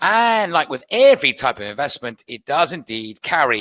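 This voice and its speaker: With a British accent, a man speaks in a bright, sharp tone with vocal fry and very wide pitch swings, the sound dry and close with no echo. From UK. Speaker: trading educator. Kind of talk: webinar presentation. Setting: online webinar.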